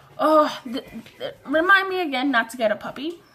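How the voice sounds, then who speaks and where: Animated, lively-sounding speech over noticeable background noise. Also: woman. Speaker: vlogger. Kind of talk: story time vlog. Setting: bedroom. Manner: fast.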